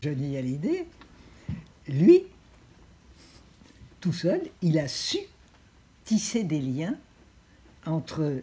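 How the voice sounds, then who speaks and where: Somewhat breathy and dark, mellow in tone, a woman with a very deep, low pitch speaks at a very slow pace with lively intonation. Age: 80s+. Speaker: president of a European civic association, former minister. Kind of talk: interview answer.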